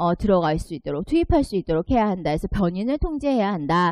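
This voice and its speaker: Here a woman's dark, mellow voice sits at a medium pitch and swings very widely. The sound is dry and close, with no echo. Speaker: exam prep lecturer. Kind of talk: online lecture.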